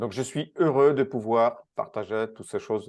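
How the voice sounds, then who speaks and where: At a moderate pace, a man with a Polish accent talks with fairly even intonation against a quiet background. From Poland. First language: Polish (speaking French). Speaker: speed reading and learning specialist. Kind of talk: interview. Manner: halting, many hesitations.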